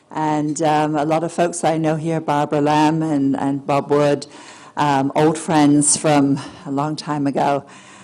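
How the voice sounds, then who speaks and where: Noticeable background noise sits behind a woman with a very deep, low pitch. She speaks at a fairly slow pace in a flat monotone. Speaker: remote viewer and author. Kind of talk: lecture. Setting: stage with audience. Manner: halting; projecting.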